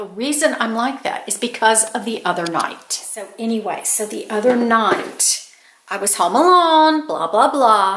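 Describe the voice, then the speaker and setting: A woman's voice with very wide pitch swings against noticeable background noise. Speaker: YouTube storyteller and author. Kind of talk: casual talk to camera, scary story telling.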